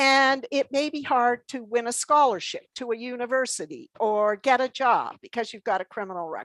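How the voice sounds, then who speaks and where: The speaker has a Canadian accent, ordinary pitch variation and big swings in loudness. There are hardly any pauses, and the sound is dry and close with no echo. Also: woman, high pitch for a woman, moderate pace, quiet background. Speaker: former government minister, invited expert. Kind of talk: committee testimony.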